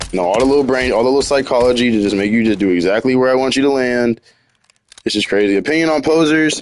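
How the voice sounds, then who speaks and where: Speaking very fast, a man with a medium-pitched voice keeps his loudness very even. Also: ordinary pitch variation. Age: 30s. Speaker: video game streamer. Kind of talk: casual live stream commentary while gaming. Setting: live game stream. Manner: casual, rambling with repetitions.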